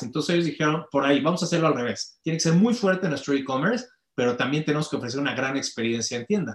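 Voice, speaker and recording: A man is speaking. His intonation is lively. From Mexico. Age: 40s. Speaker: company director and conference speaker. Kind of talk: interview conversation.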